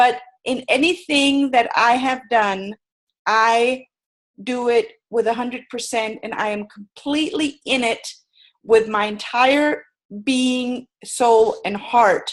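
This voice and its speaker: A very slow pace with ordinary pitch variation. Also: woman, high pitch for a woman. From Germany. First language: German. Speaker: sales and personality trainer. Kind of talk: webinar presentation. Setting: video webinar from her bed.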